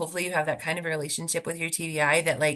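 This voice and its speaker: At a very fast pace, a woman speaks in a fairly low voice with a bright, sharp tone. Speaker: speech language pathologist. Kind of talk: webinar presentation Q&A. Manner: casual, many fillers.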